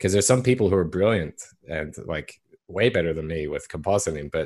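The man's pitch is very deep and low, his pace moderate. The recording is very clean, with a silent background. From Canada and Australia. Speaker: visual effects compositor. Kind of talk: casual chat.

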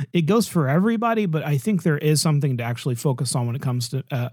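This man talks at a very fast pace in a fairly high pitch, his dark, mellow tone somewhat breathy. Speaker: podcast host. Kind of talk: casual chat.

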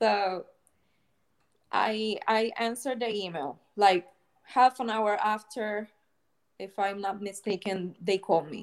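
Speaking very slowly with long, frequent pauses, a woman with a Spanish accent uses a medium pitch, ordinary pitch variation and big swings in loudness. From Puerto Rico. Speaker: clinical research coordinator. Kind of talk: casual interview. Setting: video call. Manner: halting.

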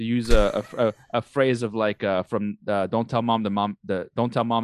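An American accent, recorded dry and close with no echo. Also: man. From outside the US. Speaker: podcast co-host. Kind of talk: casual chat. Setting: recording at night, drinking.

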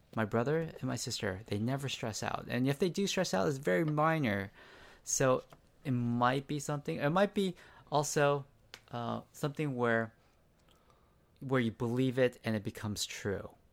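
Recorded very cleanly against a silent background, a man with an American accent talks at a medium pitch and moderate pace, using lively intonation and long, frequent pauses. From US West Coast, San Diego. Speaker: banker and martial artist. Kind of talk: casual chat.

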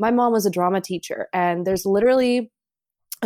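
A woman with an American accent speaks in a plain, everyday voice at a medium pitch and a moderate pace. Her intonation stays fairly even, and the sound is dry and close with no echo. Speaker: guest, friend of host. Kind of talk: casual chat. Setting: video call.

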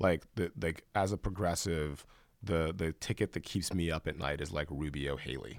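A man with an American accent speaks at a moderate pace with ordinary pitch variation. His pitch is very deep and low, with vocal fry. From US South, Columbus, Georgia. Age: 30s. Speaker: film industry figure. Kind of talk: casual chat.

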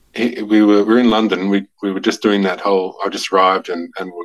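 A man with a fairly low pitch and an Australian accent. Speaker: novelist. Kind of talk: casual interview. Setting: remote call. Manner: halting, repeats words.

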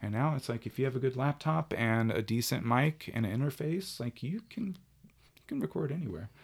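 In an unremarkable speaking voice, a man talks at medium pitch with lively intonation. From South Carolina. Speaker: bartender and musician. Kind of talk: casual chat. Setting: home studio.

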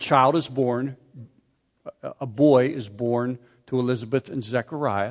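Recorded very cleanly against a silent background, with a dry, close sound and no echo, a man with an American accent speaks at a fairly slow pace in a medium pitch with fairly even intonation. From Pittsburgh area, US. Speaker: pastor. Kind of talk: sermon.

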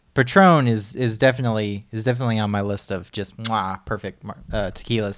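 A man with a plain, everyday voice speaks at a fairly low pitch and a fairly quick pace, with fairly even intonation and hardly any pauses, on a very clean recording with a silent background. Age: 20s. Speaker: podcast co-host. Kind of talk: casual chat.

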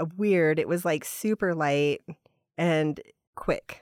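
An unremarkable speaking voice, this woman's moves at a fairly slow pace with lively intonation, in a dry, close sound with no echo on a very clean recording with a silent background. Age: 40s. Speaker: artist and designer. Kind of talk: casual chat.

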